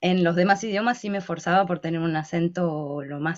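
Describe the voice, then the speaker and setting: Fairly low in pitch, this woman's voice has ordinary pitch variation. She speaks at a moderate pace. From Argentina. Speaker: linguistics researcher and YouTuber. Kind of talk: interview. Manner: hesitant, many fillers.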